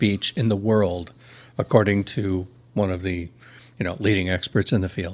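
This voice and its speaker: At a moderate pace, a man speaks in a normal speaking voice with a fairly low pitch, on a very clean recording with a silent background. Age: 60s. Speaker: podcast guest. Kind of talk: casual chat.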